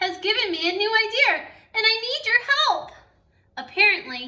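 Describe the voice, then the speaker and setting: Using a put-on character voice, a woman speaks at a moderate pace with an extremely high, squeaky pitch. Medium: read story. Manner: chatty, breathless, interrupted by hiccup gasps.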